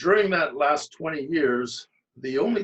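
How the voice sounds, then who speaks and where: At a moderate pace, a plain, everyday voice speaks with lively intonation in a Canadian accent. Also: man. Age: 60s. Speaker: amateur bodybuilder, lawyer. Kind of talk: casual interview.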